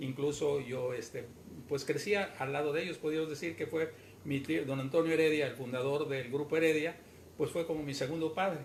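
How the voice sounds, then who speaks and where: A man's fairly high voice, delivered with fairly even intonation, competes with noticeable background noise. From Mexico, Yucatán (Mérida). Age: 80s+. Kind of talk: interview.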